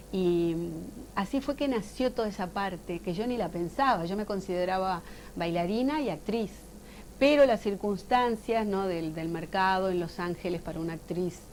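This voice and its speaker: Lively intonation marks an unremarkable speaking voice, which keeps to a moderate pace. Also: woman. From Uruguay. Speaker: actress and voice actor. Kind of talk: interview.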